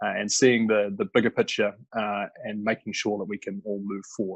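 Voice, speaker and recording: In a New Zealand accent, a man talks at a fairly quick pace and fairly low pitch. His intonation is monotone and flat, and the sound is dry and close with no echo. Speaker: climate energy advisor. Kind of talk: webinar presentation. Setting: online webinar. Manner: halting, many fillers.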